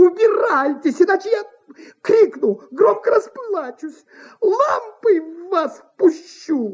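Slowly delivered, the put-on character voice has lively intonation.

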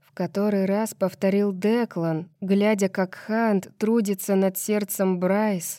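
This is an unforced reading voice. Its intonation stays fairly even.

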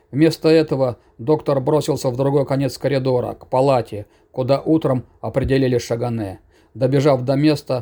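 The text is read aloud plainly. Pitch holds fairly even from start to finish.

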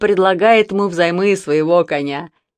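What you hear is plain reading aloud with ordinary pitch variation.

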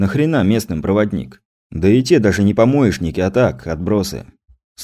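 A natural voice reads aloud, the intonation lively. Nothing disturbs the quiet background.

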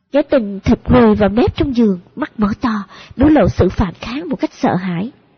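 The speaker reads aloud in a natural voice. The intonation is lively.

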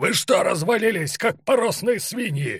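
Shouting in a put-on character voice, a man uses a high pitch with a slightly husky edge at a fairly slow pace. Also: lively intonation, very clean recording, silent background.

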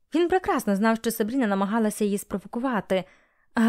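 A natural voice reads the text aloud, its pitch shifting in an ordinary way.

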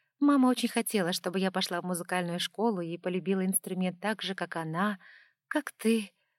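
The clip has a natural reading voice with ordinary pitch variation. The background is quiet.

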